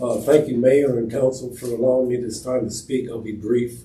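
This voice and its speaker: A man speaks in a breathy voice with an American accent. Audible room echo surrounds him. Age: 80s+. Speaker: resident speaking at public forum. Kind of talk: public comment at council meeting. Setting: city council meeting. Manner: quiet. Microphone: too far from microphone at first.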